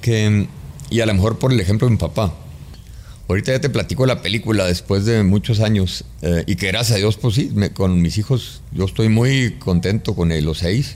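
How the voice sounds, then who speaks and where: A man with a plain, everyday voice and a fairly low pitch speaks at a moderate pace, with ordinary pitch variation and very even loudness. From Mexico, Chihuahua. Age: 50s. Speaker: construction business executive. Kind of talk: interview conversation.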